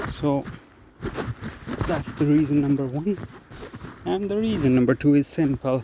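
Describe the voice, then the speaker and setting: Here a man speaks at a moderate pace with lively intonation. His pauses are long and frequent, with noticeable background noise. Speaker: vlogger. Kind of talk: casual vlog monologue. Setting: outdoors, walking in forest. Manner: conversational, hesitant.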